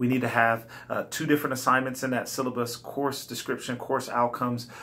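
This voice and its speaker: A man at a medium pitch, a fairly quick pace and with monotone, flat intonation. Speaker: college instructor. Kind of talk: recorded class instructions. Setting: self-recorded video. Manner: fast.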